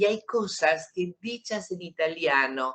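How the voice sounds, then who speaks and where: A woman with a fairly low pitch and an Argentine accent. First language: Italian (speaking Spanish). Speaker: writer. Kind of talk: interview.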